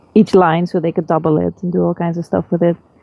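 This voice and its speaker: Here a woman talks at a fairly quick pace. Her pitch is fairly low. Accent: Dutch. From Netherlands. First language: Dutch. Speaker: film composer and vocalist. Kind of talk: interview. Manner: halting.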